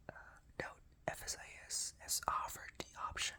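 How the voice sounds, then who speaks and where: Whispering is heard against noticeable background noise. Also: man. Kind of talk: ASMR reading of a work directive. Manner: whispered.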